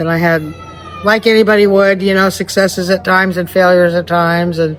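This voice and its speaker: Someone with an American accent speaks at a moderate pace over noticeable background noise. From California. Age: 60s. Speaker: blues pianist. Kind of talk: casual interview.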